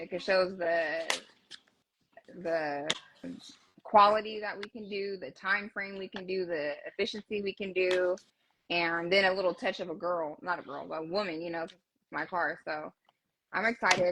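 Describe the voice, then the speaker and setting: A Southern accent at a moderate pace, with long, frequent pauses. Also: woman, big swings in loudness. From California. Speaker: car builder. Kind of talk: casual chat.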